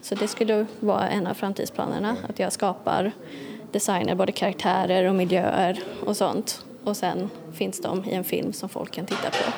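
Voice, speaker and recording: A woman's medium-pitched voice, flat and monotone, at a moderate pace over noticeable background noise. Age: young. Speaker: illustrator. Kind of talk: interview.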